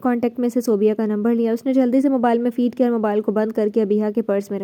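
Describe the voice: Plain reading aloud, intonation fairly even.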